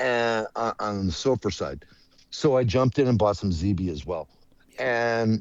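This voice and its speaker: Over a quiet background, an ordinary speaking voice with an American accent moves at a moderate pace with lively intonation, the sound dry and close with no echo. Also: man, fairly low pitch for a man. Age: 60s. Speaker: trader. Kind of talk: casual chat.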